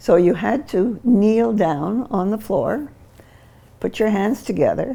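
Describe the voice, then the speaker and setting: Slowly, very slowly, a woman speaks at medium pitch with lively intonation, vocal fry and a dark, mellow tone. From New Brunswick, Canada. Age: 80s+. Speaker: interviewee in a family documentary. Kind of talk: personal testimony.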